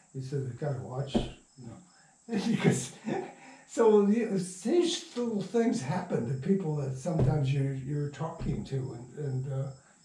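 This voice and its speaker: Audible room echo carries a man's fairly high-pitched voice. His intonation is lively. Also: fairly slow pace. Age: 80s+. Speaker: radio playwright and producer. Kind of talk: casual interview. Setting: at home. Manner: halting.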